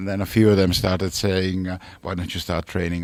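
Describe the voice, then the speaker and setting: Very deep and low, a man's voice holds a monotone, flat intonation at a moderate pace. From Italy, Milan. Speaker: racehorse trainer. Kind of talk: radio interview. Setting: radio studio.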